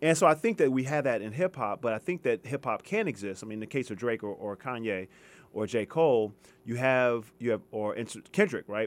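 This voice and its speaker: Someone speaks with an American accent in a plain, everyday voice, using lively intonation at a fairly quick pace. The recording is very clean, with a silent background. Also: man, medium pitch for a man. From US West Coast, Los Angeles. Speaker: history professor. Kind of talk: radio interview. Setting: radio studio.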